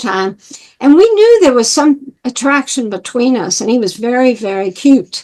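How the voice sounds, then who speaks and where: Dark, mellow tone in an American accent at a moderate pace. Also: woman. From New York, Long Island. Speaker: former Jehovah's Witness whistleblower. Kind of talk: interview, personal life story. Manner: halting, many fillers and restarts.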